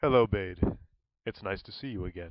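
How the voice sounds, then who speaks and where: Using a put-on character voice, a man speaks at a fairly low pitch. He keeps a moderate pace with ordinary pitch variation. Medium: read story.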